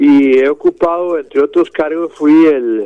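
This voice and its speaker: The voice moves with ordinary pitch variation. Noticeable background noise runs underneath. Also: man. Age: 60s. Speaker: presidential candidate. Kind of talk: radio interview.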